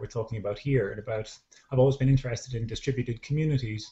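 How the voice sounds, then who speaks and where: This man speaks with a Dublin accent at a medium pitch. His voice is somewhat breathy. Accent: Irish, Dublin. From Ireland, Dublin. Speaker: social entrepreneur and dance teacher. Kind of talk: online panel discussion. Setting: video call. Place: home room. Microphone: video call.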